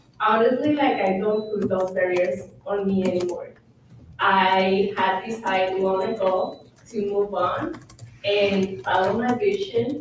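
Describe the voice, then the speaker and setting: A woman with a non-native accent speaks at a medium pitch and a fairly slow pace, with ordinary pitch variation and very even loudness, in a room with audible echo and noticeable background noise. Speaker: panelist. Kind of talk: panel discussion.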